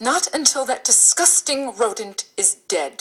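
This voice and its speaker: A woman in a put-on character voice growls at a fairly slow pace, her high voice making very wide pitch swings. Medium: stage play. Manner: prim, fussy.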